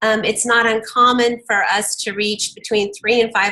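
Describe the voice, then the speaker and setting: This woman has an unremarkable speaking voice at a fairly high pitch. She talks at a moderate pace with ordinary pitch variation. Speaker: early childhood education team member presenting to a meeting. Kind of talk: work presentation.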